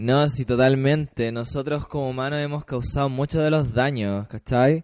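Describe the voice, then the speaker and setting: A man with a Chilean accent, medium pitch and a fairly slow pace. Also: quiet background. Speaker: online radio co-host. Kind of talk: casual chat.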